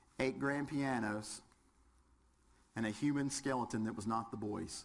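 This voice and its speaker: In a Southern US accent, a man speaks at a moderate pace with medium pitch and ordinary pitch variation, and audible room echo surrounds his voice. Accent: southern twang. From West Virginia. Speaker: firefighter instructor. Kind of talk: lecture. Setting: classroom with audience, webcast.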